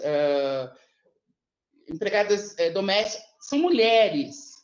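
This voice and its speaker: This woman's pitch sits in the medium range. Her voice moves in very wide pitch swings. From Brazil, São Paulo. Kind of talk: panel talk. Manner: halting, many repetitions.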